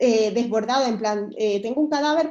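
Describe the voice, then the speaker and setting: A woman talks at a moderate pace with a high pitch. Her pitch varies in an ordinary way. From Venezuela, Caracas. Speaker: pediatric surgeon. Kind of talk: interview.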